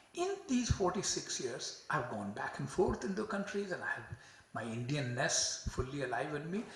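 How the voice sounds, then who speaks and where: A man at a fairly quick pace with very wide pitch swings, amid noticeable background noise and audible room echo. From India. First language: not English. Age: 70s. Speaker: psychiatry professor. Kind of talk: lecture.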